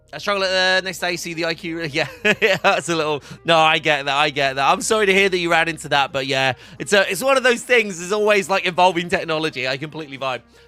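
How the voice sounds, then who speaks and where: Loud and very fast, a man speaks at a high pitch with a bright, sharp tone and ordinary pitch variation. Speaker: livestream host for a hardware brand. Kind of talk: casual live stream chat answering viewers. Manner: fast, filler-heavy.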